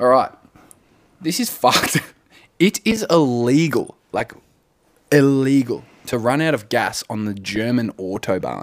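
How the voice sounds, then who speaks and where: With an Australian accent, a man speaks at a medium pitch and a fairly slow pace, with lively intonation and long, frequent pauses. The sound is dry and close, with no echo. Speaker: podcast co-host. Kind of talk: casual chat. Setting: on a couch at home.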